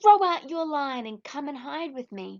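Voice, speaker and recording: In a put-on character voice, a woman talks at a moderate pace with a high pitch. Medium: read story. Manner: mumbling.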